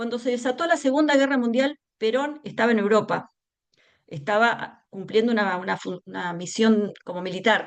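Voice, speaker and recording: A woman's fairly high, lively-sounding voice. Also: moderate pace. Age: 60s. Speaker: educator and humanist speaker. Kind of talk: talk in an online seminar. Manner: hesitant, many fillers.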